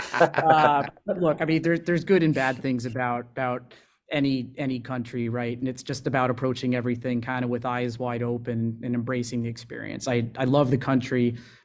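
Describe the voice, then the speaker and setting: A man with a normal speaking voice and an American accent talks fairly quickly at medium pitch, his intonation fairly even. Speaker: revenue executive. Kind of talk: podcast interview. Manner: frequent filler words.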